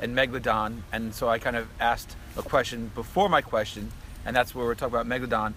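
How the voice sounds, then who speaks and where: Talking at a very fast pace, a man with an American accent has a medium pitch, fairly even intonation, a bright, sharp tone and vocal fry. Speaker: BMX rider. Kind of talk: casual chat. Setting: outdoors.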